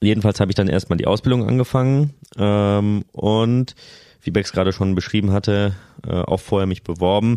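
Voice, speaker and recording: A man with a dark, mellow tone speaks at a fairly low pitch with fairly even intonation. His loudness stays very even against a quiet background. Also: moderate pace. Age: 30s. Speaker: family doctor. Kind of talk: casual chat.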